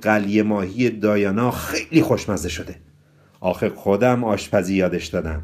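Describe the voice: Ordinary pitch variation in plain reading aloud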